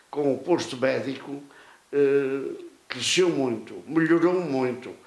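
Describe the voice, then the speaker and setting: A man with a fairly high voice speaks very slowly, his intonation fairly even. The room echoes audibly and background noise is noticeable. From Portugal, Avanca (Aveiro district). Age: 90s. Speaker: retired local politician. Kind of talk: interview. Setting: at his home. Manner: halting, many repetitions.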